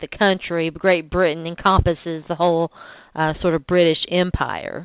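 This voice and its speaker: A woman with a strong Southern US accent speaks at a fairly low pitch. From US South. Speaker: sports podcast host. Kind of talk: casual interview.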